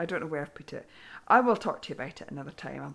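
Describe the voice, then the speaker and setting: A woman talks with a British accent. Her pitch is very deep and low, with ordinary variation. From UK. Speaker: knitting podcast host. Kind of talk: casual monologue.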